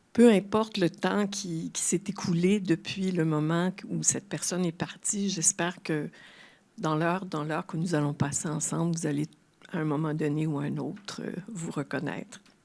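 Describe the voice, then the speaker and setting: A woman speaks with a fairly low pitch. Her voice carries vocal fry. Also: ordinary pitch variation, moderate pace. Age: 70s. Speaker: retired translator and grief speaker. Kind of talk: public talk. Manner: halting.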